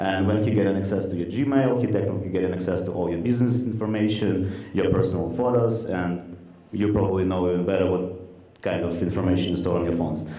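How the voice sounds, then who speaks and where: A man speaks very fast in a very deep, low voice with fairly even intonation. The room echo is audible and background noise is noticeable. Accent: Russian. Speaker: startup co-founder. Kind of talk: product demo pitch. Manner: halting, many fillers.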